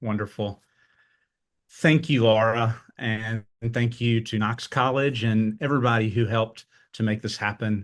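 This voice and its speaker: Medium-pitched man at a fairly slow pace, fairly even intonation, quiet background. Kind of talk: webinar presentation. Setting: webinar.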